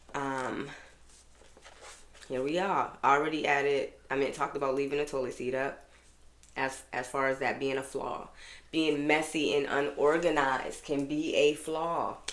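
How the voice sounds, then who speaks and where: Her very deep, low voice carries an American accent and an animated tone. Audible room echo is present, and the woman leaves long, frequent pauses. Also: moderate pace. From Boston, US Northeast. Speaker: podcast host. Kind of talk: casual solo podcast monologue.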